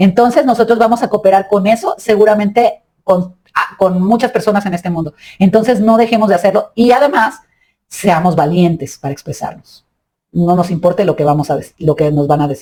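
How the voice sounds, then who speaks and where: Lively intonation marks this somewhat breathy voice. The pace is moderate. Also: woman. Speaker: spiritual podcast host. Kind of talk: reflective monologue. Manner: halting.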